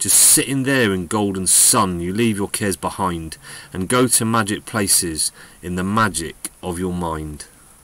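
Over noticeable background noise, a man with a very deep, low pitch talks at a moderate pace in a warm, animated tone with ordinary pitch variation. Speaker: poetry reader. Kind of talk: reading a poem aloud, with a short spoken intro and outro. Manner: rhythmic, sing-song cadence with rhyming pacing; warm, gently animated storyteller delivery.

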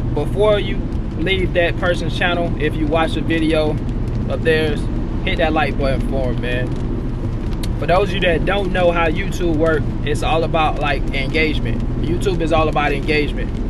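Loud background noise surrounds a man speaking at a moderate pace, his sound dry with no echo. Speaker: truck driver vlogger. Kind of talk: casual vlog chat. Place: car. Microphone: phone near.

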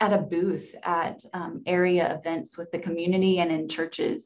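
The delivery comes at a moderate pace in a monotone with flat intonation. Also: woman. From Mississippi. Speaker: public health director; panelist. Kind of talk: panel webinar discussion. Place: office. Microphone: webcam.

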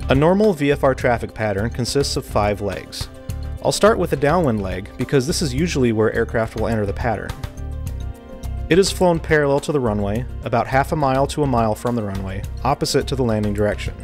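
Faint music plays in the background as a man speaks at a fairly quick pace. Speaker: air traffic control instructor. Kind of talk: tutorial. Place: studio. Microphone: lapel.

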